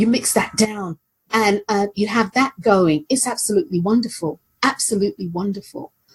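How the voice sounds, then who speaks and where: Over music in the background, a woman with a London accent speaks at a fairly high pitch and a moderate pace, with ordinary pitch variation. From London, England. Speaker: aromatherapist. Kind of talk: casual chat.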